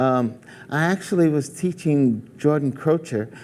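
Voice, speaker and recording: With an American accent, a man speaks at a fairly high pitch and a fairly slow pace in an ordinary speaking voice. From New York, US. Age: 60s. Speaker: singer. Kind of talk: interview.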